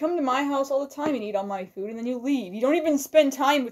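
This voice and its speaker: Using a put-on character voice, a woman talks very fast at a high pitch, her loudness swinging widely. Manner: complaining, whiny.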